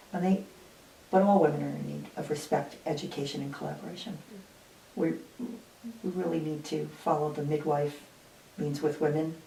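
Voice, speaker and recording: The speaker keeps a moderate pace and fairly even intonation, with long, frequent pauses. Noticeable background noise and audible room echo fill the recording. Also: woman, very deep, low pitch for a woman. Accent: American. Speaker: retired nurse-midwife. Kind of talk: interview. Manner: halting.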